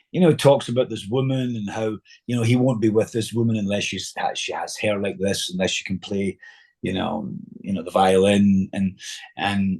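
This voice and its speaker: Fairly low in pitch, a man talks in a Scottish accent with ordinary pitch variation. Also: moderate pace. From Scotland. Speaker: actor. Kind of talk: interview storytelling. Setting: podcast interview. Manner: halting, many fillers.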